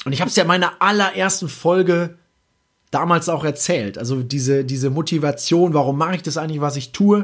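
Over a silent background in a very clean recording, a man with an unremarkable speaking voice talks at a fairly quick pace, fairly high in pitch with ordinary pitch variation. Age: 20s. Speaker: podcast host. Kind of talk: solo podcast monologue.

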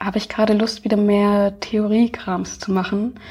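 The voice is somewhat breathy, with a dark, mellow tone. It moves at a moderate pace with monotone, flat intonation. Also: woman. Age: 20s. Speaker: video activist and YouTuber. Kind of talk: conversational interview.

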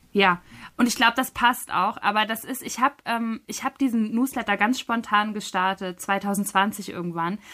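A woman talks at medium pitch with ordinary pitch variation. Hers is an unremarkable speaking voice. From northern Germany, Schleswig-Holstein. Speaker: novelist and literary scholar. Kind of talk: interview.

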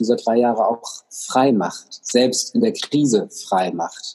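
This man's voice sits at a medium pitch and carries a dark, mellow tone. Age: 50s. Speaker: coach and speaker. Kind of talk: interview.

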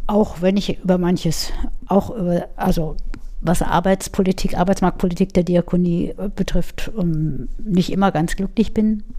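A woman's medium-pitched voice with fairly even intonation and very even loudness. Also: fairly slow pace. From Munich, Bavaria. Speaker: head of a telephone crisis counselling service. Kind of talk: interview.

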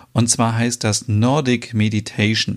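In a very clean recording with a silent background, a man speaks at a medium pitch in a calm tone. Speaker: podcast host. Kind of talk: promotional announcement.

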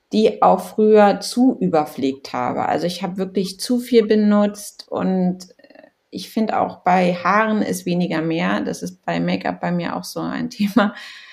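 A woman's plain, everyday voice, medium in pitch, at a fairly slow pace. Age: 30s. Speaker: blogger and influencer. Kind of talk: casual chat.

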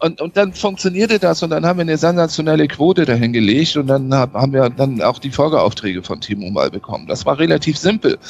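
Fairly high in pitch and laced with vocal fry, a man's voice moves at a fairly quick pace with very wide pitch swings. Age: 50s. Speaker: sales and marketing consultant. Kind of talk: interview.

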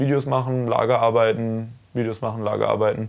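Here a man speaks very fast at a medium pitch. His intonation stays fairly even. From Karlsruhe, Germany. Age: 20s. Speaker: enduro racer. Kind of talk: casual chat. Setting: recorded while traveling in the US.

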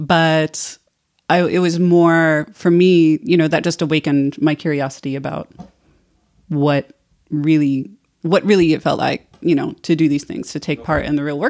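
A woman's very deep, low-pitched voice with an American accent, fairly even intonation and a moderate pace, on a very clean recording with a silent background. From United States. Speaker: tequila enthusiast and bartender program participant. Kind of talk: casual chat.

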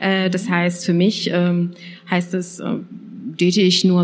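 Speaking at a fairly slow pace, a woman is heard against noticeable background noise. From Saxony, eastern Germany. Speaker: podcast host. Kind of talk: casual chat.

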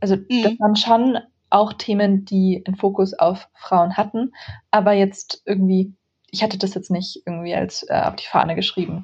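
A woman's somewhat breathy voice sits at a medium pitch with monotone, flat intonation. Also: moderate pace. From Germany. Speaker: author and tech speaker. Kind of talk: interview. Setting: remote call.

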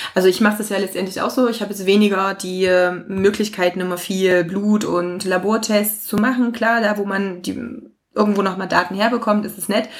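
Pitched at medium for a woman, her voice has monotone, flat intonation. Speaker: podcast host. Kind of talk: interview.

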